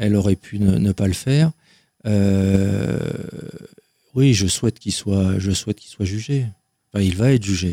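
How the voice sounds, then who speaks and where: This man has a fairly low, dark and mellow voice with ordinary pitch variation, speaking at a moderate pace. He leaves long, frequent pauses, and the sound is dry and close with no echo. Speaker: author and abuse survivor. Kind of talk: testimony interview. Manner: halting, many repetitions.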